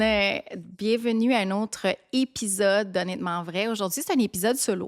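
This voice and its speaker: Music plays in the background as a woman speaks. Her pitch is fairly high, and she talks with a Quebec accent. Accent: Québécois French. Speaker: podcast host. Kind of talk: casual storytelling podcast.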